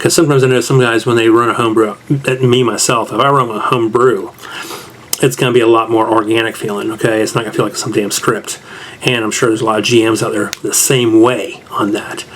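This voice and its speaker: A man with an American accent talks at a very fast pace and a medium pitch, his intonation monotone and flat. Noticeable background noise is present. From US South. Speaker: tabletop game reviewer. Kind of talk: casual review monologue. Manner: casual, conversational.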